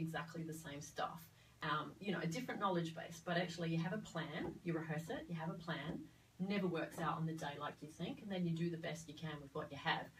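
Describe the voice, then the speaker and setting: A woman with a fairly low pitch talks very fast, her pitch varying in an ordinary way. Background noise is noticeable, and there is audible room echo. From Australia (Sydney). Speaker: midwife, former theatre worker. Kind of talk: interview conversation. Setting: studio. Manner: hesitant, many fillers.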